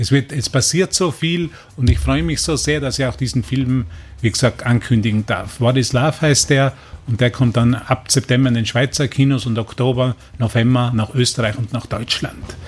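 A man with vocal fry speaks at a medium pitch and a moderate pace, his pitch varying in an ordinary way. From Austria, Tyrol. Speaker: spiritual course teacher. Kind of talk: radio interview. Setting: radio studio. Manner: halting, repetitive.

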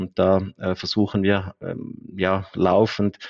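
A man's very deep, low voice in a flat monotone. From eastern Switzerland. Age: 30s. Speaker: accountant and company director. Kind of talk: casual interview.

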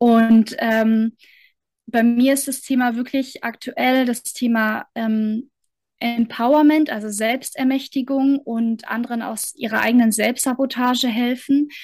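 Her pitch is high and her intonation monotone and flat. The woman speaks at a very slow pace. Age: 30s. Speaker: mentor and coach. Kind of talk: interview.

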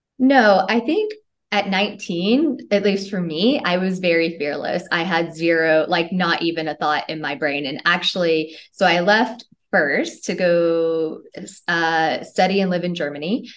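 A woman with an American accent speaks in a plain, everyday voice, with fairly low pitch and ordinary pitch variation. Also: fairly slow pace. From US South, Tennessee. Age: 30s. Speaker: manifestation coach. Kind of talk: casual interview.

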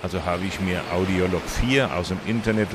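A man speaks at a fairly low pitch with fairly even intonation. Background noise is noticeable. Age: 70s. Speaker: cochlear implant user and volunteer advocate. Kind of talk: interview. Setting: outdoors at a public hearing event. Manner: halting.

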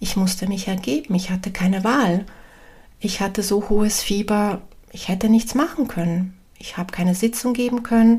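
Somewhat breathy, a woman speaks at a medium pitch in a calm, warm tone that is also dark and mellow. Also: ordinary pitch variation, moderate pace. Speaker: medium and spiritual coach podcaster. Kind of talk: spiritual talk, solo podcast. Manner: calm, warm, with hesitations.

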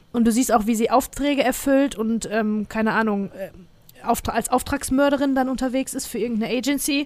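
High-pitched with ordinary pitch variation, a woman speaks at a fairly quick pace. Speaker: podcast host. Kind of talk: casual chat.

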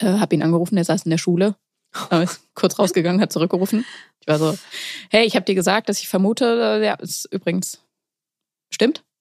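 Very fast yet broken by long, frequent pauses, a woman's medium-pitched voice shows ordinary pitch variation in a very clean recording with a silent background and a dry, close sound with no echo. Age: 30s. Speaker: poetry slammer and young mother. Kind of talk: casual chat.

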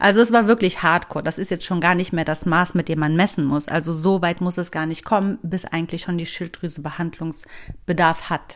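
The speech moves at a fairly quick pace with fairly even intonation and hardly any pauses. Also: woman, fairly low pitch for a woman. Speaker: podcast host. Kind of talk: motivational monologue. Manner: casual.

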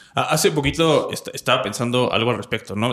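Lively intonation colors this voice with a Mexican accent. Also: man. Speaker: podcast host. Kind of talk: casual interview.

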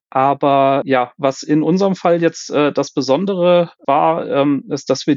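This man's voice sits at a fairly high pitch and has ordinary pitch variation. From Germany, Cologne. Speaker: quality manager in fastening technology. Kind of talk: interview. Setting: remote call. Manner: hesitant, many fillers.

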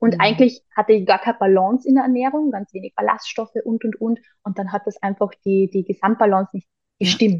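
Somewhat breathy speech at a fairly quick pace, with ordinary pitch variation. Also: woman, fairly high pitch for a woman. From Austria, Carinthia. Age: 30s. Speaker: holistic health coach. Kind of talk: interview conversation.

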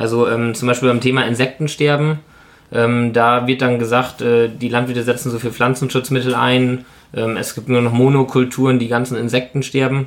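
Monotone, flat intonation from a man at medium pitch and a moderate pace. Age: 20s. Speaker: dairy and pig farmer. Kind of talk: interview. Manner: hesitant, many filler sounds.

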